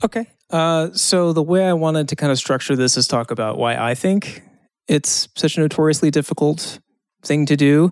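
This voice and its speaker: A man with a plain, everyday voice speaks at a moderate pace and fairly high pitch, with ordinary pitch variation and very even loudness. The recording is very clean, with a silent background. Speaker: comedian and podcast host. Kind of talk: casual podcast chat.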